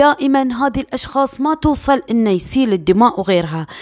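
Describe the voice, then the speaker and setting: This woman speaks with a high pitch. The sound is dry and close, with no echo. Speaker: true crime storyteller. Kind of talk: storytelling narration. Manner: casual, conversational.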